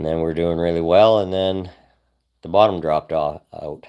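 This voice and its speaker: A man with a Canadian accent at a fairly slow pace, against a quiet background. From Canada, North Vancouver. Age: 60s. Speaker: moving business owner and musician. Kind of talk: live stream chat. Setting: solo livestream.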